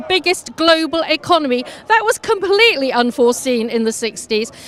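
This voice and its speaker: With noticeable background noise behind her, a woman with an English accent speaks at a fairly quick pace, her pitch swinging very widely. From England. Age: 60s. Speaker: anti-Brexit demonstrator. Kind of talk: street interview. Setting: outdoors at a demonstration.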